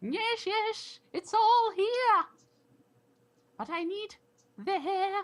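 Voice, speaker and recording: In a put-on character voice, the speaker uses an extremely high, squeaky pitch and a dramatic tone, going very slowly with long, frequent pauses. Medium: actual play. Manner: dramatic, fussy.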